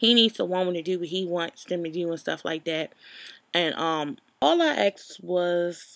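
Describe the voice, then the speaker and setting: A woman's fairly low voice at a moderate pace, with ordinary pitch variation and a dry sound free of echo. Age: 20s. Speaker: YouTube vlogger. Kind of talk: casual storytelling vlog. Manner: informal, many fillers. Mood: animated, exasperated storytelling. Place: home room. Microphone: webcam.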